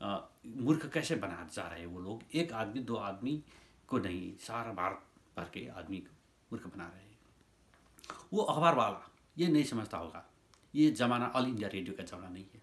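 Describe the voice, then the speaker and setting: With long, frequent pauses, a man of medium pitch speaks with very wide pitch swings and big swings in loudness. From Nepal. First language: Nepali (speaking Hindi). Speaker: YouTuber commentator. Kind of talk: opinion monologue. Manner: halting.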